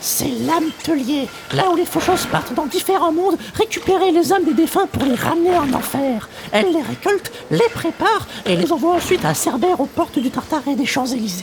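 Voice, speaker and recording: A put-on character voice, high in pitch, goes at a fairly quick pace over clear background noise. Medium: audio drama. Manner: casual, confident.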